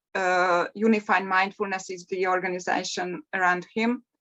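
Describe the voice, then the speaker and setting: Speaking at a very slow pace, a woman has a non-native accent. Her intonation stays fairly even. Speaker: mindfulness coach. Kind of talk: meditation introduction. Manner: hesitant, with fillers.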